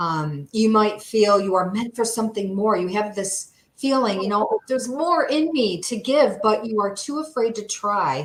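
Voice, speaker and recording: A woman speaks in a normal speaking voice, her pitch fairly high. Her intonation is lively and her pace moderate. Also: hardly any pauses. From upstate New York. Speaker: therapist and health coach. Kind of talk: presentation in a livestream interview. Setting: livestream.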